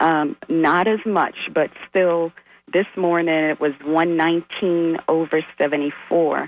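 Intonation is monotone and flat, with very even loudness. The pace is very slow. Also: woman, fairly low pitch for a woman. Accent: American. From Ohio. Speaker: caller. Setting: phone call.

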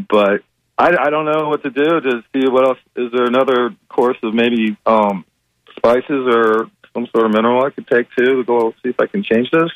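Here is an unremarkable speaking voice from a man at a medium pitch. He keeps a moderate pace with ordinary pitch variation. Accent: American. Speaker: caller. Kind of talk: casual phone call with a health question. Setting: phone call.

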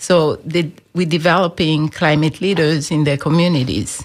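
A woman's voice is very deep and low in pitch. She moves at a moderate pace with fairly even intonation. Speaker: climate advocacy program director. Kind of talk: radio interview.

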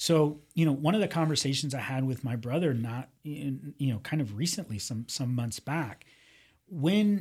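The recording is very clean with a silent background. A somewhat breathy man with fairly high pitch talks at a moderate pace with lively intonation. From US, Miami (Cuban-born, left at two). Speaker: psychologist and motivational speaker. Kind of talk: interview conversation. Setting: radio studio.

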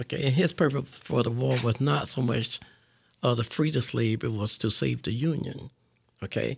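In a very clean recording with a silent background, a man with an American accent speaks at a medium pitch and moderate pace, with lively intonation and vocal fry. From West Palm Beach, Florida. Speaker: community leader. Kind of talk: interview. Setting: radio studio.

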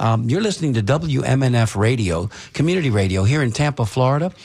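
On a very clean recording with a silent background, a man speaks with lively intonation and a somewhat breathy voice. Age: 60s. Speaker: radio talk show host. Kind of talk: casual talk radio discussion. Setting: radio studio.

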